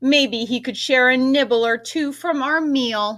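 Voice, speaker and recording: At a fairly slow pace, a woman does a put-on character voice pitched high. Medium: read story.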